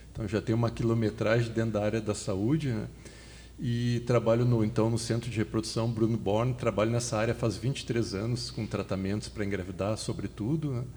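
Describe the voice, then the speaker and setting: A man speaks at a fairly quick pace in a normal speaking voice, with medium pitch and fairly even intonation. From southern Brazil, Porto Alegre. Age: 50s. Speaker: fertility doctor and medical lecturer. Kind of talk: podcast interview.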